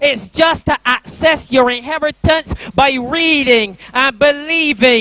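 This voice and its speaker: Over music in the background, a man with an extremely high pitch speaks at a fairly slow pace, with ordinary pitch variation and a dry, close sound with no echo. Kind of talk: spoken word poetry performance. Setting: church youth convention.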